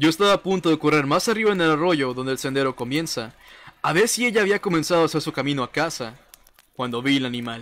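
A man's very fast delivery with lively intonation. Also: fairly high pitch for a man. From Mexico, Reynosa, Tamaulipas. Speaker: gaming streamer. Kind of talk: casual livestream chat, horror story reading aloud.

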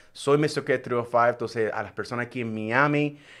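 The man speaks at a very fast pace with ordinary pitch variation. The background is quiet. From Puerto Rico. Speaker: radio show host. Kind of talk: live talk show, Spanish-English mix; radio show host intro and greetings. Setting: live stream. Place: studio. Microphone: studio mic.

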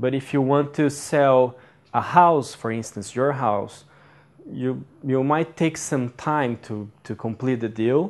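Speaking at a very slow pace with a Portuguese accent, a man uses a medium pitch and ordinary pitch variation. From Brazil. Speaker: MBA student. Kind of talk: lecture. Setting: stage with audience. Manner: halting.

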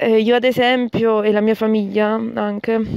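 A woman speaks in a fairly high, monotone, flat voice, with a dry, close sound and no echo. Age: 20s. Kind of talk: recorded voice message. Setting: recorded audio message sent by email.

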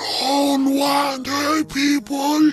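A man uses a put-on character voice at an extremely high pitch, speaking very slowly with little pitch movement. Faint music plays in the background.

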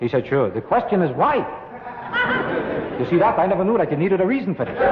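With noticeable background noise, a high-pitched man with an American accent talks at a very fast pace, his pitch swinging very widely. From United States. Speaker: stand-up comedian. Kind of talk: stand-up comedy routine. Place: studio. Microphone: old recording.

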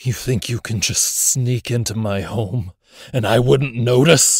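In a put-on, growling character voice, a man speaks at a medium pitch, captured with a dry, close sound and no echo. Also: fairly slow pace. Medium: audio drama.

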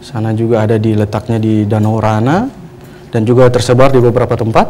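Light background noise sits under a man's medium-pitched voice and fairly even intonation. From Maluku Tenggara, Indonesia. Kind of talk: TV religious guidance talk, interview answers. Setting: TV studio. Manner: formal, hesitant with fillers. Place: studio.

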